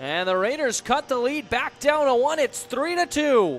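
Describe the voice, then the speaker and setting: A man's excited tone with very wide pitch swings at a fairly slow pace, dry and close with no echo, over music in the background. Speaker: hockey play-by-play commentator. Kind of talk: live sports commentary. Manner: excited on goals, rising energy.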